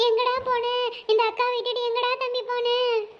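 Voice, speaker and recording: A woman's put-on character voice at an extremely high pitch, monotone and flat, at a moderate pace. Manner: mock wailing lament.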